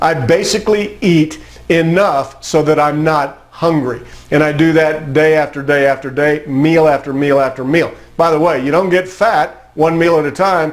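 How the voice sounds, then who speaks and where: Against noticeable background noise, a man talks at a moderate pace in a fairly high pitch, with fairly even intonation and very even loudness. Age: 60s. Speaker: motivational speaker. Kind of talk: motivational talk.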